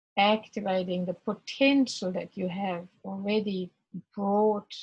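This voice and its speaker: A somewhat breathy woman at medium pitch, fairly slow and with fairly even intonation. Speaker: spiritual workshop facilitator. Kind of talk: guided meditation. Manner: gentle, slow rhythm.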